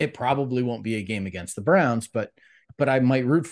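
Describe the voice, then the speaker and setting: Against a quiet background, a man has a normal speaking voice at a medium pitch with ordinary pitch variation. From US Midwest, Cleveland, Ohio. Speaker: political director, former congressional candidate. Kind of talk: interview.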